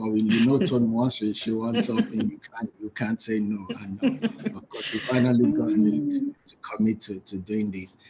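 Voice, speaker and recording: A man's medium-pitched voice against noticeable background noise. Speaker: pastor and book reviewer. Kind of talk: book review talk. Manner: soft-spoken; halting, repeats words.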